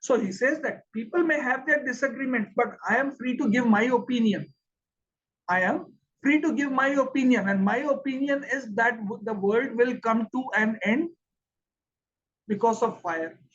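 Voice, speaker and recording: Extremely high in pitch for a man, this speaker talks with an Indian accent and ordinary pitch variation. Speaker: English teacher. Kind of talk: lecture. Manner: slow with pauses.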